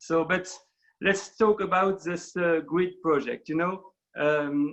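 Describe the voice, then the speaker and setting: A man talks at a very slow pace. His voice is high for a man, with ordinary pitch variation. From France. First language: French. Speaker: documentary filmmaker. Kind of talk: panel talk in an online webinar. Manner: halting, many fillers.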